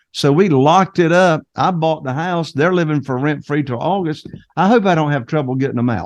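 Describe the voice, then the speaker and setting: Fairly high-pitched male speech with a Carolina Southern accent, at a moderate pace. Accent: noticeable Carolina Southern. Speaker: real estate investor. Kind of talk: interview podcast.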